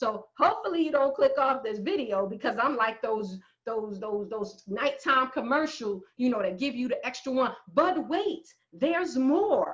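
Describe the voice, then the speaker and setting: With a slight New Jersey accent, a woman speaks at a high pitch and a fairly slow pace, her animated tone marked by very wide pitch swings. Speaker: math professor. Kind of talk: lecture. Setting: screen-share video lecture.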